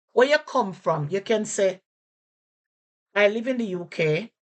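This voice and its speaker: The speaker is a woman with a Jamaican accent. Her pitch is fairly high. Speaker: language teacher. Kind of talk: casual lesson to camera.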